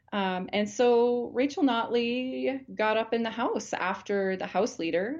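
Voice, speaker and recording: Against a quiet background, a woman with a normal speaking voice talks at a fairly slow pace with lively intonation. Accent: Canadian. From Alberta, Canada. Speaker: family physician. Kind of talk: interview.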